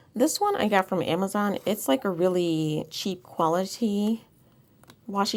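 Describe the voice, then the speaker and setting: Quiet and fairly slow, a woman speaks at a medium pitch. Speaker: planner decorating YouTuber. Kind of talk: casual tutorial-style crafting vlog.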